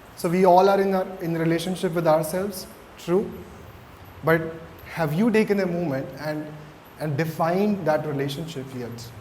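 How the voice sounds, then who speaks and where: A man's high voice at a moderate pace, with ordinary pitch variation, long, frequent pauses, audible room echo and noticeable background noise. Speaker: mindfulness coach. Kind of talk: interactive talk to students. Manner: hesitant, with fillers.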